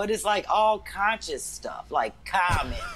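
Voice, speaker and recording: The speaker's tone is animated and the pace fairly slow. Noticeable background noise runs underneath. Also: woman. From St. Louis, US Midwest. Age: 50s. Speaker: comedian. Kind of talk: casual chat.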